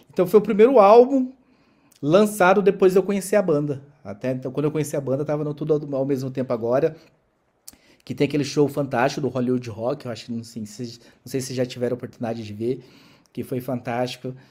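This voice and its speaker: The delivery is very fast, with lively intonation and a dark, mellow tone. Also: man, fairly high pitch for a man. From Brazil, interior of Goiás. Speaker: podcast host. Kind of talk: casual chat.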